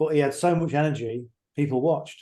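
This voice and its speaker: With an English accent, a man talks in a dark, mellow tone and a fairly even intonation. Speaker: online marketing mentor. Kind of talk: video call with live interpretation. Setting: video call. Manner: fast.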